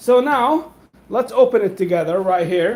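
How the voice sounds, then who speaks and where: Over noticeable background noise, a voice with a non-native accent speaks at a fairly slow pace with ordinary pitch variation. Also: man. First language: not English. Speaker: food vlogger. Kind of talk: live cooking stream. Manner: casual, halting with fillers.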